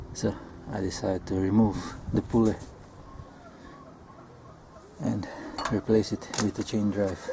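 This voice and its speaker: A man at a fairly slow pace against loud background noise. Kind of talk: tutorial. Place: garden. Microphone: phone near.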